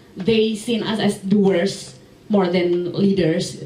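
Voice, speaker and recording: A woman speaks very slowly at a medium pitch with fairly even intonation. Noticeable background noise and audible room echo surround her voice. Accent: Jakarta. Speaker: audience member asking questions. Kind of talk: Q&A question. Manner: halting, many fillers.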